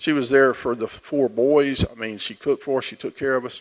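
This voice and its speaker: This is a man with a medium-pitched voice. He talks at a moderate pace. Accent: Texas. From Texas. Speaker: church member giving testimony. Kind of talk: testimony. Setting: church service. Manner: halting.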